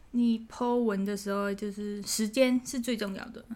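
With a Thai accent, a woman speaks at a very slow pace and a fairly high pitch. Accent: non-native Mandarin, Thai-accented. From Thailand. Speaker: food photographer and influencer. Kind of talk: casual interview. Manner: hesitant, many fillers.

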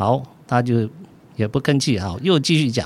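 This man's voice moves through very wide pitch swings. He is the one speaking here. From southern Taiwan, military dependents' village. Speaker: physician. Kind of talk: interview storytelling.

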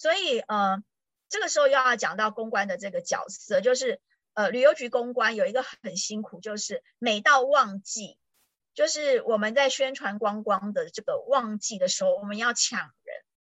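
Her pitch fairly high, a woman speaks at a moderate pace. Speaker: tourism board PR professional. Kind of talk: casual chat. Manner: animated.

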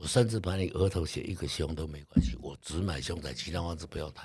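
A man with a very deep, low pitch and vocal fry talks at a very fast pace, his pitch varying in an ordinary way. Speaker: real estate investor. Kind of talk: interview.

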